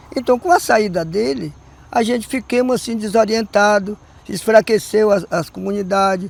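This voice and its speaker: Over noticeable background noise, a man talks at a moderate pace in a high pitch. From southern Bahia, Brazil (Olivença). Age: 80s+. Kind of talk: documentary interview. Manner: halting.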